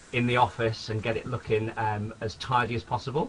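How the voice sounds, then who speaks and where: Somewhat breathy, a man of medium pitch speaks. His pace is moderate. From northern England, Sunderland, County Durham. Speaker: network marketing distributor. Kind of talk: webinar training presentation. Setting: home office, webinar broadcast.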